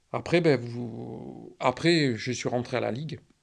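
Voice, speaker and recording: A man speaks with vocal fry. His pitch shows ordinary variation. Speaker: retired trainer and works director, cancer patient. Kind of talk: interview answer.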